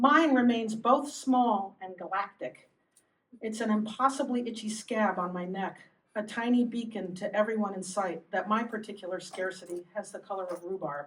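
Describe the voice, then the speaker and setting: Somewhat breathy and fairly high in pitch, a woman speaks at a moderate pace with ordinary pitch variation and big swings in loudness. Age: 60s. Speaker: poet. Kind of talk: poetry reading.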